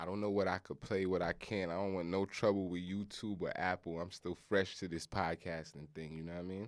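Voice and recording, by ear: On a very clean recording with a silent background, a man speaks low in pitch at a fairly quick pace with fairly even intonation.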